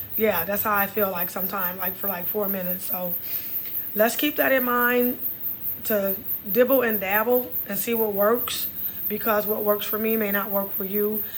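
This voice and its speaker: In a Texas accent, a woman speaks at a moderate pace, her pitch medium and her intonation fairly even. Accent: Texas twang. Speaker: podcast host. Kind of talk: casual health talk monologue. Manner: conversational, repetitive.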